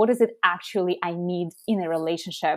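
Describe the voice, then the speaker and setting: A woman speaks in a Russian accent. The recording is very clean, with a silent background. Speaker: app co-founder. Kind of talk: podcast interview.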